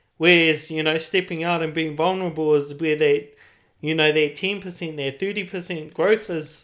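Spoken at a moderate pace with fairly even intonation and a New Zealand accent, this very clean recording has a silent background. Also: man, fairly high pitch for a man. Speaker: podcast host. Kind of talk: casual chat.

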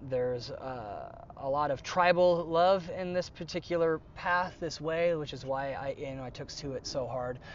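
Speaking with an American accent in an ordinary speaking voice, a man keeps a moderate pace with ordinary pitch variation and big swings in loudness. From United States. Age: young. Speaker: military veteran and shaman. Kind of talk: casual chat.

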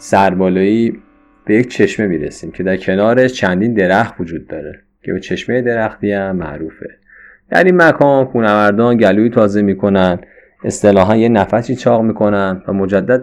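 A man with an ordinary speaking voice talks at a fairly quick pace, fairly low in pitch with ordinary pitch variation. The background is quiet. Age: 30s. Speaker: amateur mountaineer. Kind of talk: trip report narration.

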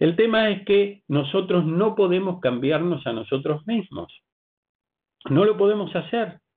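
A man with a high-pitched voice and lively intonation talks at a fairly slow pace. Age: 60s. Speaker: pastor. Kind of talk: sermon.

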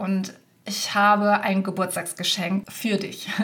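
A woman talks at a very slow pace in a medium-pitched voice. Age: 30s. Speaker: podcast host and business mentor for virtual assistants. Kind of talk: solo podcast monologue.

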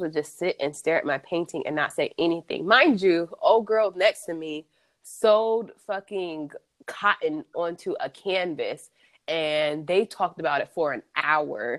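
An unremarkable speaking voice, this woman with an American accent talks fairly slowly at a medium pitch with ordinary pitch variation, the sound dry and close with no echo. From US Midwest (Columbus, Ohio). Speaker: artist. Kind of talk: casual interview.

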